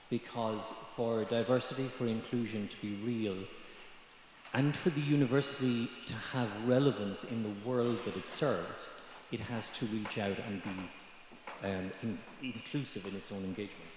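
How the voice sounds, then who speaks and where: A man speaks with an Irish accent. Audible room echo and noticeable background noise can be heard. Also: medium pitch for a man, ordinary pitch variation, moderate pace. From Ireland, Galway. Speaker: student panelist. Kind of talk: panel discussion. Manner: halting.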